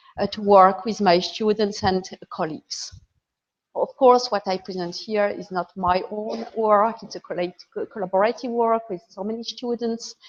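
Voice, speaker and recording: A woman with a French accent speaks at a moderate pace and a medium pitch. Her intonation stays fairly even while her loudness swings widely. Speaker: computer science professor. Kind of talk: lecture.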